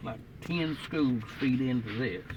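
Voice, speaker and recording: Man with an Appalachian accent, medium pitch, lively intonation and fairly slow pace, amid audible room echo and noticeable background noise. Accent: Appalachian Southern US. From Southwest Virginia. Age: 90s. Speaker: elderly man recalling his life. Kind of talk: interview reminiscence.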